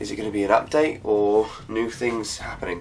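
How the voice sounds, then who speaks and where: Spoken with an English accent, the delivery has a moderate pace and ordinary pitch variation. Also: man. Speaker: gaming YouTuber. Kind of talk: casual video commentary.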